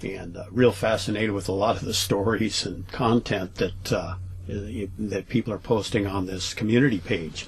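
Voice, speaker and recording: At a moderate pace, a man talks in a fairly low voice with fairly even intonation. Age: 60s. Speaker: vlogger telling paranormal stories. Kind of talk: casual storytelling vlog. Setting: travel trailer at home. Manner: hesitant, many fillers.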